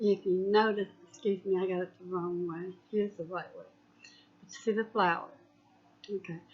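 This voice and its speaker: At a medium pitch, a woman speaks with fairly even intonation, long and frequent pauses, and big swings in loudness. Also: moderate pace. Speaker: craft tutorial host. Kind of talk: tutorial. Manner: casual, hesitant.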